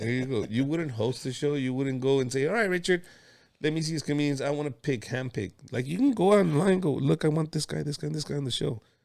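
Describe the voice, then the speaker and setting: The speaker talks very fast in a Mexican accent with ordinary pitch variation. The recording is very clean, the background silent. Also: man, fairly high pitch for a man. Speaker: comedian and podcast host. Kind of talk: casual interview chat. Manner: animated.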